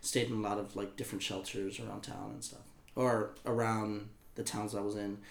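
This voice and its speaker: In an American accent, a man with a fairly low pitch talks at a moderate pace in a monotone, flat intonation. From Texas. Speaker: singer-songwriter and promoter. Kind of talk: casual interview chat.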